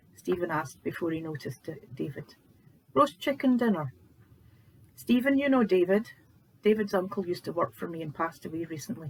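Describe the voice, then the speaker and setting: In a Scottish accent, the speaker goes at a fairly quick pace broken by long, frequent pauses. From Scotland. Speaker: author reading own book. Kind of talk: audiobook narration.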